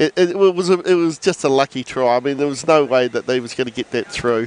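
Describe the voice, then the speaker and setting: Recorded dry and close with no echo, a man with a New Zealand accent talks at a fairly quick pace with ordinary pitch variation. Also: fairly high pitch for a man. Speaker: co-commentator. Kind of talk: live commentary.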